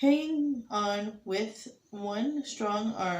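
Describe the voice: This recording is plain reading aloud.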